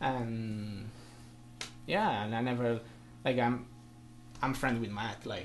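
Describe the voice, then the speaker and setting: A man speaks very slowly at a medium pitch, with fairly even intonation. Long, frequent pauses break up his speech, and the room echo is audible. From Italy, from an island. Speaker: blues guitarist. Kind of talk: casual interview. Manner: halting.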